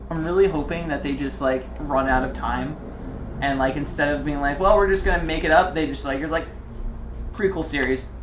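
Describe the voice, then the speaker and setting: Someone talks at a fairly quick pace with audible room echo and noticeable background noise. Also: man. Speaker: gaming video podcast co-host. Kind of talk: casual chat. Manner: whispering at times; animated. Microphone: poor audio quality.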